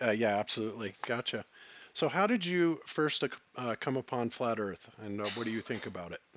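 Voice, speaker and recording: A man with an ordinary speaking voice talks at a moderate pace in a medium pitch, his intonation lively. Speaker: podcast host, former Air Force communications engineer. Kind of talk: casual interview.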